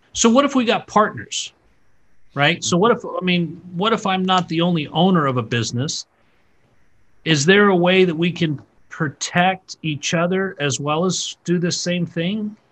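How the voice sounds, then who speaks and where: Here a man speaks with lively intonation in a high voice. His pace is moderate. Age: 40s. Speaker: podcast host. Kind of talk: casual interview.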